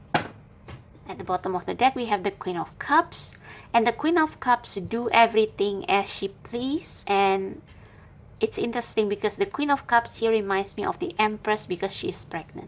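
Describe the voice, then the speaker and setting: In a very clean recording with a silent background, a woman with a non-native accent and a fairly high pitch talks at a moderate pace. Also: lively intonation. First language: not English. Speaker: tarot reader. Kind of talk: tarot reading monologue. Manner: halting.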